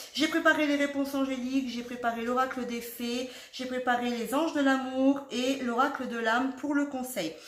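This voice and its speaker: With audible room echo, a woman speaks at a fairly slow pace with high pitch and ordinary pitch variation. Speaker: tarot card reader. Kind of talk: tarot reading video. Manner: chatty, rambling.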